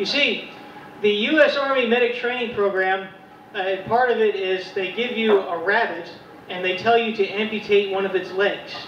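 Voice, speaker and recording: With an American accent, a man speaks at a high pitch with fairly even intonation. Noticeable background noise and audible room echo fill the recording. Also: moderate pace. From rural West Virginia. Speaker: comedian. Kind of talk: stand-up. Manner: halting.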